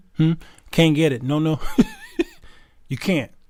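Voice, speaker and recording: A man speaks. His voice sits fairly high in pitch. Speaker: talk show host. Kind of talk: live-stream talk show. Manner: calmer than usual, not screaming; conversational, repetitive.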